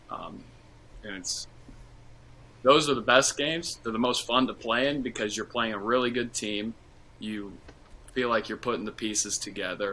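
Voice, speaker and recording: Using a bright, sharp tone, a man speaks at a moderate pace and medium pitch with ordinary pitch variation and long, frequent pauses. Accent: American. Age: 20s. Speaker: former college basketball player. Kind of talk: casual interview.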